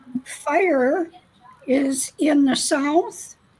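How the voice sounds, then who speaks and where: High-pitched and with ordinary pitch variation, a woman's voice cuts through noticeable background noise. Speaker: shamanic teacher. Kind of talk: spiritual teaching.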